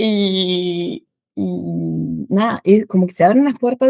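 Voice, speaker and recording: A woman with a Buenos Aires accent is heard in a dry, close sound with no echo. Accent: sounds like a Buenos Aires native. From France. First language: French (speaking Spanish). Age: 30s. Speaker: French teacher and content creator. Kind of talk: casual interview chat.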